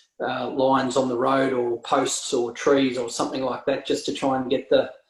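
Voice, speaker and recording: Flat and monotone, a man speaks at a medium pitch and a moderate pace. He has a rural Australian accent. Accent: Australian country twang. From rural Victoria, Australia (Hamilton). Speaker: real estate agent and auctioneer. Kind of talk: casual interview. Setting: video call.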